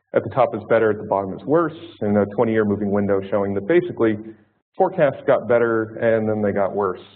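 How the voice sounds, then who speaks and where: In an American accent, a man talks at a very fast pace with a fairly low pitch. The room echo is audible. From United States. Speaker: hydrology scientist. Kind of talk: conference talk. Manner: halting, many fillers.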